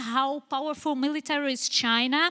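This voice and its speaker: A woman speaks in a raised, projected voice that is high-pitched and bright and sharp in tone, with ordinary pitch variation and a fairly slow pace. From Brazil. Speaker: audience member asking a question. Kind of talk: audience question. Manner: halting, many fillers.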